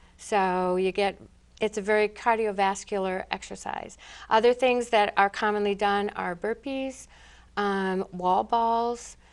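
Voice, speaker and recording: Against a quiet background, a woman in an ordinary speaking voice talks at a fairly slow pace, her medium pitch held in fairly even intonation. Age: 60s. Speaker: school assistant principal. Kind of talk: interview answer.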